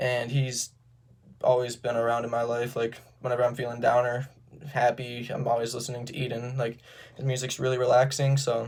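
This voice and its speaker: A man talks at a fairly quick pace in a medium pitch. His somewhat breathy voice stays monotone and flat. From Sturgis, Michigan, US Midwest. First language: Romanian. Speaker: college student. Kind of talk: self-introduction video. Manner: casual, with filler words and occasional stutters.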